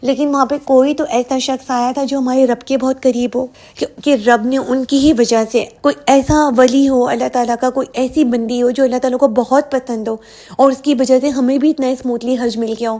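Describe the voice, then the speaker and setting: A woman speaks at a high pitch in a monotone, flat intonation. She leaves hardly any pauses. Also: moderate pace. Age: young. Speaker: YouTuber. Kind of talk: vlog.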